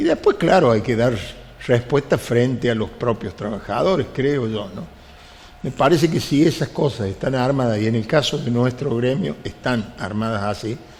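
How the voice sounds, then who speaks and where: A man at medium pitch and moderate pace against noticeable background noise. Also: ordinary pitch variation. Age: 70s. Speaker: union leader. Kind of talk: interview.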